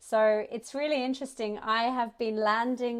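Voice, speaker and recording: With an Australian accent, a woman speaks at a moderate pace in a fairly high pitch. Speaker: startup ecosystem representative. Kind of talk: conference talk.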